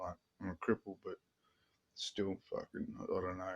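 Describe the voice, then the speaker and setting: A man with an Australian accent and fairly low pitch, in a dry, close sound with no echo. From Australia, rural. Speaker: vlogger on meditation and spirituality. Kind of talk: casual monologue vlog. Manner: fast; rambling, hesitant with fillers.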